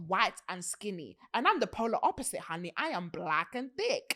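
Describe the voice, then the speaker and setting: A woman with a British accent at a moderate pace, very wide pitch swings, and a very clean recording with a silent background. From UK. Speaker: podcast host. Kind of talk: casual chat. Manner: animated.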